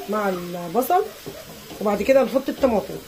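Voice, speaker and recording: A woman with an Egyptian accent speaks fairly slowly at a medium pitch, with ordinary pitch variation. Background noise is noticeable. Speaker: cooking channel host. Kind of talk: cooking tutorial.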